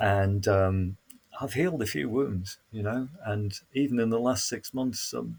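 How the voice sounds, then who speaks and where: A man with a Yorkshire accent, fairly low in pitch, at a fairly slow pace with lively intonation. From northern England, Sheffield. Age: 60s. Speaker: council facilitator and trainer. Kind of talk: reflective conversation.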